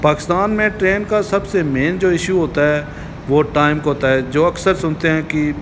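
The speech comes at a fairly slow pace. There is noticeable background noise. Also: man. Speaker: travel vlogger. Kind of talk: casual vlog chat. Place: station. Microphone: phone near.

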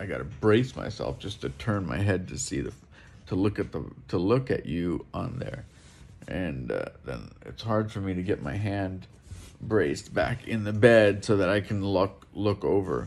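A man's fairly low voice with vocal fry, at a moderate pace. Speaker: vlogger. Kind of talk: casual vlog chat. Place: home room. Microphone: phone near.

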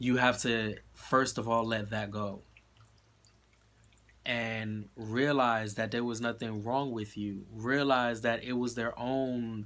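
A man speaks at a very slow pace in a monotone, flat intonation. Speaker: tarot card reader. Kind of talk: tarot reading monologue. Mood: reassuring, encouraging. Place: home room. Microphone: phone near.

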